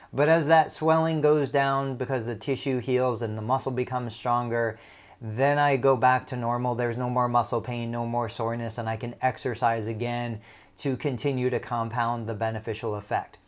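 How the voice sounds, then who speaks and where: With fairly even intonation and a medium pitch, a man talks at a moderate pace in an ordinary speaking voice, captured in a very clean recording with a silent background. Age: 40s. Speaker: physical therapist. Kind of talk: educational talk.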